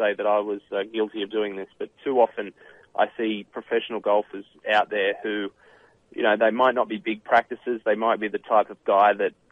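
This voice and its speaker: A man with an Australian accent, fairly low in pitch, with monotone, flat intonation at a moderate pace. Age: 30s. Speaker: professional golfer and author. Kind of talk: radio interview. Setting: phone call.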